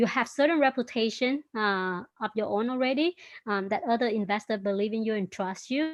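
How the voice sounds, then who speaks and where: A woman with a Vietnamese accent speaks at a fairly high pitch. Her pace is moderate, and her pitch varies in an ordinary way. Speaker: startup founder and CEO. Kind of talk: interview.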